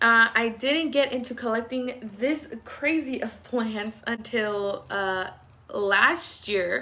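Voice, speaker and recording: With an American accent, the speaker talks at a very slow pace in a bright, sharp tone. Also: woman, fairly high pitch for a woman, ordinary pitch variation. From Texas. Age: 20s. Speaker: plant hobbyist vlogger. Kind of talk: casual vlog tutorial. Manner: hesitant, many fillers.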